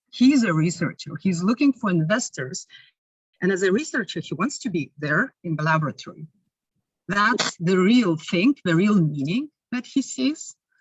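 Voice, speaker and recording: A woman at a medium pitch and moderate pace, with a Lithuanian accent, very wide pitch swings and a somewhat breathy quality. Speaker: researcher presenting at conference. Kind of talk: conference Q&A.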